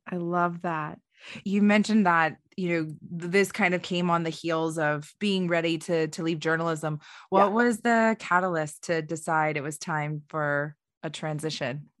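A woman's ordinary speaking voice, fairly low in pitch and fairly slow in pace, on a very clean recording with a silent background. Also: fairly even intonation. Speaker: podcast host. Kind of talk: interview.

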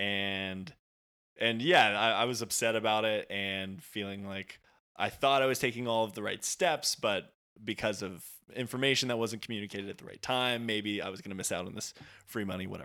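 This bright, sharp voice moves at a fairly quick pace on a very clean recording with a silent background. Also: man, fairly low pitch for a man, ordinary pitch variation, big swings in loudness. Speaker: social media video worker. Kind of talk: casual chat.

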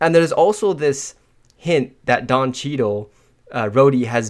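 Lively intonation marks a man with an unremarkable speaking voice and medium pitch, who talks at a moderate pace on a very clean recording with a silent background. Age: 20s. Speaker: podcast co-host. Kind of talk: casual chat.

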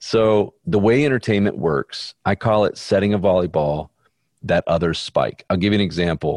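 A man with an Alabama accent talks at a moderate pace and a fairly low pitch, with lively intonation and very even loudness, in a dry, close sound with no echo against a quiet background. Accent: Southern US (Alabama). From Birmingham, Alabama, US South. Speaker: film director and producer. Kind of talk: interview conversation.

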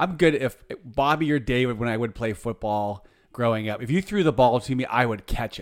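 A man's ordinary speaking voice at a moderate pace, on a very clean recording with a silent background. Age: 50s. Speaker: podcast co-host. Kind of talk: casual chat.

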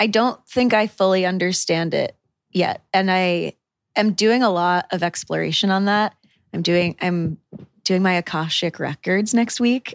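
A woman with an American accent has an unremarkable speaking voice at medium pitch, talking at a fairly slow pace with fairly even intonation and very even loudness, recorded with a dry, close sound, no echo, and a very clean, silent background. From rural Connecticut, New England. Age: 20s. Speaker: newsletter founder and writer. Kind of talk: casual chat. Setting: studio.

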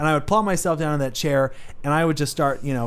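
A man speaks very fast at a fairly high pitch, with audible echo in the room. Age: 20s. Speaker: faith podcast host. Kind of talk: casual faith chat.

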